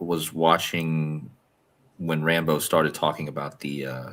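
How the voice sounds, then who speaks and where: Loud and flat in intonation, a man speaks at a fairly slow pace with a very deep, low pitch and a bright, sharp tone. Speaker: podcast co-host. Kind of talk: casual chat. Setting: video call from a hostel room. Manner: soft-spoken; normally loud. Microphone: good mic, clear.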